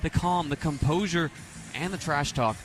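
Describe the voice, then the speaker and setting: The voice shows ordinary pitch variation. Music can be heard in the background. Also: man. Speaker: color commentator. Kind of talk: radio sports color commentary.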